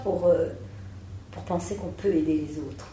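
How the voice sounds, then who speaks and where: Noticeable background noise and audible room echo surround a woman speaking at a fairly quick pace with a fairly low pitch. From France, Alsace (Strasbourg). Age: 60s. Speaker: psychotherapist. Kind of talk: interview.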